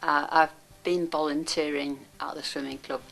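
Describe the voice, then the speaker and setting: In a Yorkshire accent, a woman with a very deep, low pitch speaks at a fairly slow pace with ordinary pitch variation. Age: 80s+. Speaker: volunteer swimming coach. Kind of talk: interview testimony.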